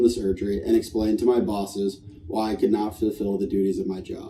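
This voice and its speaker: A man's fairly low-pitched, unremarkable speaking voice at a fairly quick pace. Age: 20s. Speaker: patient sharing testimony. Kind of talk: testimony. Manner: read from prepared text.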